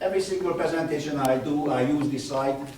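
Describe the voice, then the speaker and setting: A man with a non-native accent speaks at a fairly high pitch with ordinary pitch variation. There is noticeable background noise and audible room echo. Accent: foreign. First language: not English. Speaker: sports scientist. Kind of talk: lecture. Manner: fast; animated.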